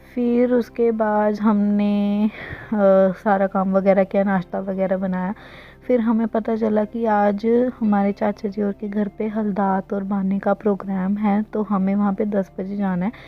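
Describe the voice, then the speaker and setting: A woman's medium-pitched, monotone, flat delivery at a fairly slow pace, over noticeable background noise. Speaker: vlogger. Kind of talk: casual vlog narration.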